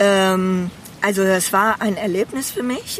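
Noticeable background noise sits behind a woman speaking at a very slow pace. Her medium-pitched voice keeps a fairly even intonation. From Bedburg, western Germany (Rhineland). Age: 60s. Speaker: retired medical assistant, therapy client. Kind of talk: casual chat. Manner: hesitant, many fillers.

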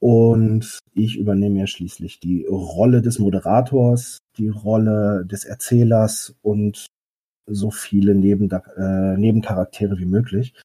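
Speaking fairly slowly, a man uses a fairly low, dark, mellow voice with monotone, flat intonation. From Westphalia, Germany. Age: 30s. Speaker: game master, social worker. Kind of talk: casual interview. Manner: hesitant, many fillers.

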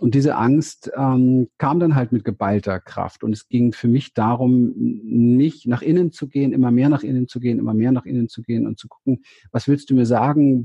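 Male voice of medium pitch, a normal speaking voice, moderate pace with hardly any pauses and fairly even intonation. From Berlin, Germany. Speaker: therapist and seminar leader. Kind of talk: interview. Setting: video call, standing.

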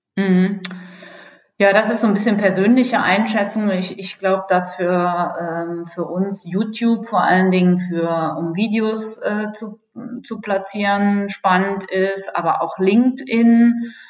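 With audible room echo, a woman talks at a very slow pace and with fairly even intonation. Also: medium pitch for a woman. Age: 40s. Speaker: energy company communications manager. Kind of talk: podcast interview.

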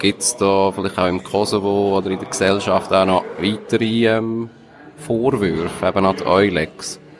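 Amid noticeable background noise, a man speaks fairly slowly at a fairly low pitch. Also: fairly even intonation. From Switzerland. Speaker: radio host. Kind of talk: scripted intro.

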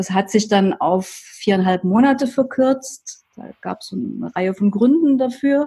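A woman with a normal speaking voice talks at a fairly slow pace and a fairly high pitch, her intonation lively, her loudness swinging widely, with hardly any pauses. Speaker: life coach. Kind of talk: interview.

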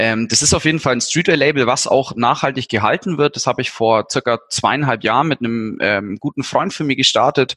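The voice has a bright, sharp tone and ordinary pitch variation at a fairly quick pace. The recording is dry and close, without echo. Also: man. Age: 20s. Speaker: affiliate manager. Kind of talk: casual interview.

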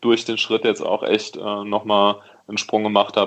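This man's pitch is fairly low. His intonation is monotone and flat. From Rhineland, Germany (Neuwied). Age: 20s. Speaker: professional cyclist. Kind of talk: interview.

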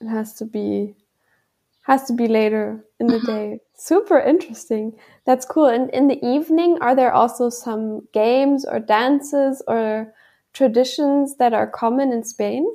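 Speaking with a German accent, a woman has a high pitch and a dark, mellow tone. Her pace is moderate, with ordinary pitch variation. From Germany. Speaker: podcast host. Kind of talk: interview.

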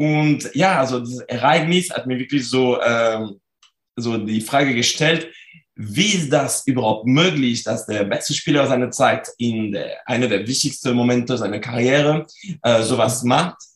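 A man talks with a French accent. He speaks at a fairly slow pace. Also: medium pitch for a man, ordinary pitch variation. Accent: French accent, clearly audible. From France. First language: French (speaking German). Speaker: sport psychology researcher. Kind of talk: interview. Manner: halting, many fillers.

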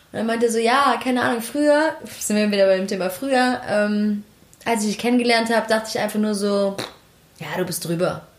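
Amid noticeable background noise and audible room echo, a woman speaks at a fairly high pitch and fairly quick pace with ordinary pitch variation. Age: 20s. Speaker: podcast co-host. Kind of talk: casual chat.

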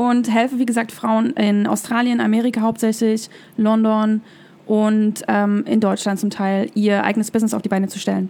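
The voice has a dark, mellow tone and monotone, flat intonation, moving at a moderate pace. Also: woman, fairly high pitch for a woman. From East Germany (former GDR). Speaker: business coach. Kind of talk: interview.

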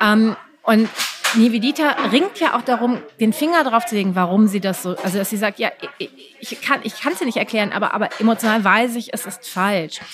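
Speaking fairly quickly with lively intonation, a woman with a fairly high voice is heard against noticeable background noise. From Düsseldorf, Germany. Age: 40s. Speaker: writer. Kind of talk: interview.

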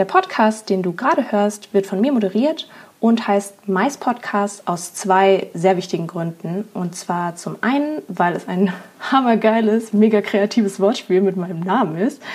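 Somewhat breathy and medium in pitch, a woman speaks at a fairly slow pace. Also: ordinary pitch variation. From Germany. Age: 20s. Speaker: podcast host. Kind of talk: podcast intro monologue.

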